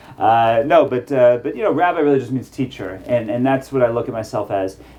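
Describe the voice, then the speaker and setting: A man speaks fairly quickly in an American accent, with noticeable background noise present. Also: medium pitch for a man, ordinary pitch variation. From US South, Atlanta, Georgia. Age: 40s. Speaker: rabbi and life coach. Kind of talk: casual chat. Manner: halting, many fillers.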